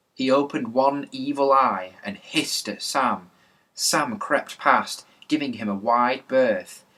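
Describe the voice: Someone does plain reading aloud.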